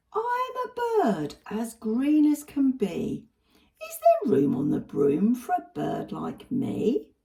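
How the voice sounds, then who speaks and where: A put-on character voice is used here. It moves at a very slow pace. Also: woman. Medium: read story.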